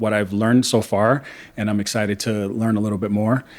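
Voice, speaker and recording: Against a very clean recording with a silent background, a man speaks at a fairly low pitch and a fairly quick pace. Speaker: podcast interviewer. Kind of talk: interview host talk.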